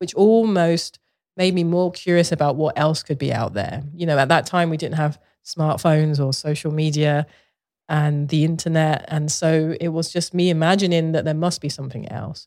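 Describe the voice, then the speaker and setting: Over a very clean recording with a silent background, a woman speaks in a London accent. Her pitch is very deep and low, with ordinary variation, at a moderate pace. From Southeast London, England. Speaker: visual artist. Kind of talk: casual interview chat.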